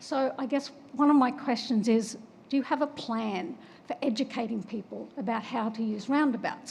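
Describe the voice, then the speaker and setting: Over noticeable background noise, a woman with an Australian accent speaks at a high pitch with ordinary pitch variation. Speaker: public commenter, former road safety researcher. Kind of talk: public comment at town meeting.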